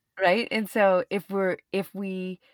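In a Canadian accent, a woman with an unremarkable speaking voice talks at a fairly low pitch and a fairly slow pace. The sound is dry and close with no echo, in a very clean recording with a silent background. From Canada. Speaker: yoga teacher and astrologer. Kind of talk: podcast interview.

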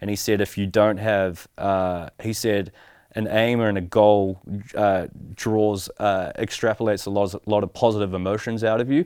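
Speaking in a normal speaking voice at a moderate pace, a man with a fairly low pitch keeps his intonation fairly even in a very clean recording with a silent background. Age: 30s. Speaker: podcast host and clothing brand founder. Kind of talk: casual interview chat.

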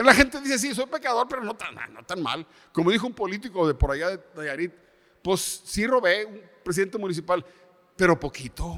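This man's voice is high-pitched with very wide pitch swings. His loudness also swings a great deal. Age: 70s. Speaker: pastor. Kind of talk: sermon. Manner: halting.

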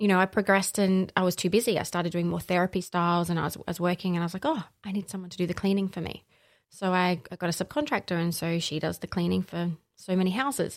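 A woman talks at a very fast pace in an Australian accent, her pitch medium and her intonation fairly even. The recording is very clean, with a silent background. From South Australia, Barossa. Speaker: facilitator and holistic practitioner. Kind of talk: casual interview chat.

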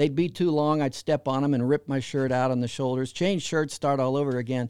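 A man speaks in an unremarkable speaking voice, fairly high in pitch with fairly even intonation. The recording is very clean with a silent background and a dry, close sound with no echo. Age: 60s. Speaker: fan website founder and podcaster. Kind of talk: interview.

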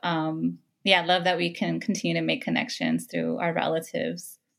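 In a Californian accent, a woman talks on a very clean recording with a silent background. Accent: Californian American English. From Los Angeles, California. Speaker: therapist. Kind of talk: interview conversation.

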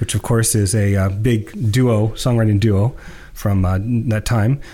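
This man has an unremarkable speaking voice at a medium pitch. His pitch variation is ordinary. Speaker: podcast co-host. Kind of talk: casual discussion of music.

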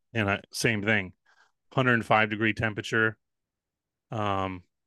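Over a quiet background, a man with a fairly low pitch and a bright, sharp tone speaks in a flat monotone. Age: 30s. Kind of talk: casual interview chat.

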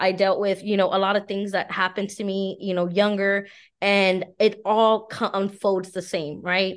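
Someone with an American accent talks at a moderate pace against a quiet background. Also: woman, medium pitch for a woman. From Texas (San Antonio). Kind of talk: casual interview chat. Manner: animated.

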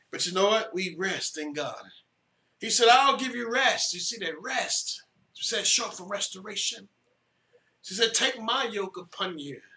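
A man's raised, projected voice, high-pitched, with lively intonation, big swings in loudness, a moderate pace and audible room echo. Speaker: pastor. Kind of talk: sermon.

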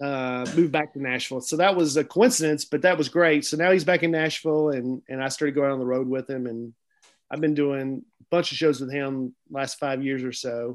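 Against a quiet background, a man speaks at a fairly quick pace with fairly even intonation and a fairly high pitch, an ordinary speaking voice. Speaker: stand-up comedian. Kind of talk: casual chat.

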